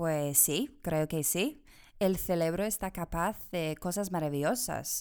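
On a very clean recording with a silent background, a woman with an English accent speaks very slowly in a fairly low voice, with lively intonation and very even loudness. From England, Bristol. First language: English (speaking Spanish). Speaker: language exchange organizer. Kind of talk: interview. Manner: halting.

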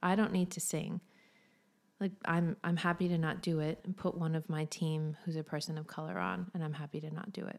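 On a very clean recording with a silent background, a woman with an unremarkable speaking voice and an American accent talks at a moderate pace and a fairly low pitch, with fairly even intonation. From United States. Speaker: content and event manager, church leader. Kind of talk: casual interview chat. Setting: podcast recording.

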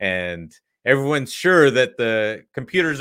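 Over a very clean, silent background, a man with a Canadian accent uses a normal speaking voice at a moderate pace with lively intonation. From Canada. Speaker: podcast host. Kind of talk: casual interview.

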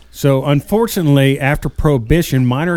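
Pitched at a medium level, a man talks in an unremarkable speaking voice with ordinary pitch variation. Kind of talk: radio-style sales pitch / ad read. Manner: upbeat, rapid-fire announcer cadence with infomercial hype.

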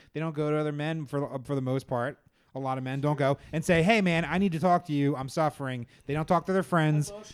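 A man speaks at a very fast pace in a fairly high pitch with ordinary pitch variation while music plays in the background. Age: 40s. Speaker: podcast host. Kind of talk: casual chat.

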